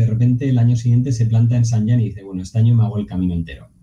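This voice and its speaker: This man talks very rapidly, his voice at a medium pitch. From Navarre, Spain (Pamplona). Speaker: podcast host. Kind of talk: casual interview.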